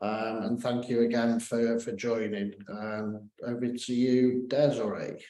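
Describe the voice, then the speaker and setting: A man speaks with a British accent. His medium-pitched voice has monotone, flat intonation. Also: fairly slow pace, hardly any pauses. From UK. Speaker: wealth manager. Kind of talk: webinar presentation.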